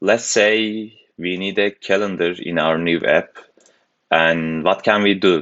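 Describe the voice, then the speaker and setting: Speaking at a very slow pace with a strong non-native accent, a man uses a very deep, low pitch and fairly even intonation. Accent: heavy foreign. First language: not English. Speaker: programming tutor. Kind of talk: tutorial. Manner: hesitant, many fillers.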